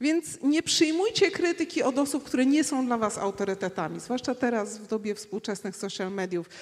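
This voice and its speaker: A woman with a high voice talks at a fairly quick pace in an animated tone, making very wide pitch swings with hardly any pauses. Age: 50s. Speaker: traveller and speaker. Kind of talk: panel discussion on stage. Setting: stage with audience.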